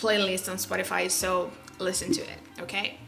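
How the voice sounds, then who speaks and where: A woman with a non-native accent speaks at a fairly slow pace. Music plays in the background, and the room echo is audible. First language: not English. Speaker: music vlogger. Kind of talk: casual vlog talk. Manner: halting.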